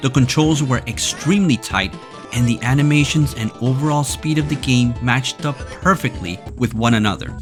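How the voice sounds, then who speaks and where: A man at a medium pitch with very wide pitch swings, at a moderate pace, music playing in the background. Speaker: gaming history video narrator. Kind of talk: video game history narration.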